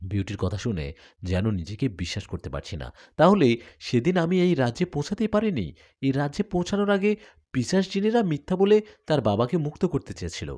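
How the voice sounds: A man's medium-pitched, slightly mellow voice, fairly quick, with big pitch swings, in a very clean recording with a silent background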